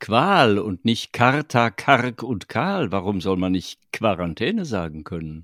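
The voice moves at a very slow pace with lively intonation. The sound is dry and close with no echo, in a very clean recording with a silent background. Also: man. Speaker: podcast co-host, voice actor and writer. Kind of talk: casual chat.

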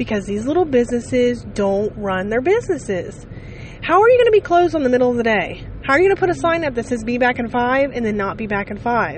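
A woman speaks with a high pitch. Her pitch swings very wide. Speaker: podcaster. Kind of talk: casual monologue. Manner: rambling with fillers.

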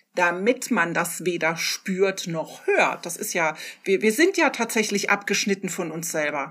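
A woman with a plain, everyday voice talks at a fairly slow pace and a medium pitch, using ordinary pitch variation. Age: 50s. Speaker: podcast co-host. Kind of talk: casual chat.

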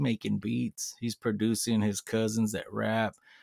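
This man has an American accent and a medium-pitched voice, speaking at a moderate pace. The recording is very clean with a silent background and a dry, close sound free of echo. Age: 40s. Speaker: rapper. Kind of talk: casual chat.

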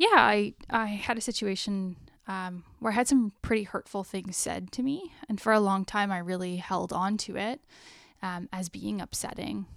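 On a very clean recording with a silent background, a woman with an ordinary speaking voice and medium pitch talks at a moderate pace, her pitch varying in an ordinary way. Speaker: podcast co-host. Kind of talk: casual chat.

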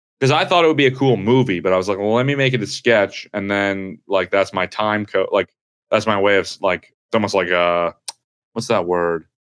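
With an American accent and an unremarkable speaking voice, a man talks at a fairly quick pace, fairly low in pitch with ordinary pitch variation. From New Jersey. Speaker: stand-up comedian. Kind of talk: casual chat.

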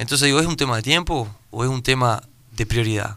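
This man talks at a moderate pace with a medium pitch. His tone is bright and sharp, with ordinary pitch variation. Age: 30s. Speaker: student and digital entrepreneur. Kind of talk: radio interview.

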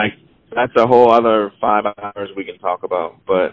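In an American accent, a man with a fairly low pitch and fairly even intonation has a plain, everyday voice. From Charleston, South Carolina. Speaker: jazz musician and producer. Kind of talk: interview. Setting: phone call while driving. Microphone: on speakerphone.

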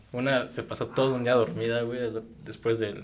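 Audible room echo colors speech delivered at a moderate pace and with fairly even intonation. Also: man. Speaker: university student or recent graduate. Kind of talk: casual chat.

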